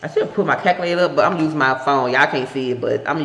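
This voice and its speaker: The speaker has a Southern US accent. Noticeable background noise runs underneath. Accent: country Southern. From Tennessee. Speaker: stock research YouTuber, military veteran. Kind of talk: tutorial. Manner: casual, conversational.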